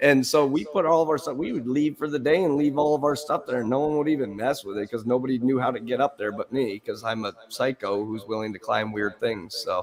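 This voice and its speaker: At a fairly quick pace and with hardly any pauses, a man with medium pitch, ordinary pitch variation and an unremarkable speaking voice talks. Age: 30s. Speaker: guitar streamer learning guitar. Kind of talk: casual chat.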